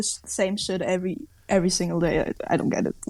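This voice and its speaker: A woman with a German accent at a very fast pace. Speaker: podcast guest. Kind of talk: casual chat.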